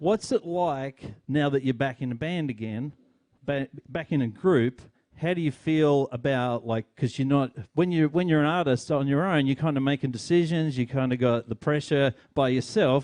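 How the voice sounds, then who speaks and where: A man's fairly high voice with an Australian accent, at a moderate pace. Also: ordinary pitch variation. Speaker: podcast host. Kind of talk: interview. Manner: halting.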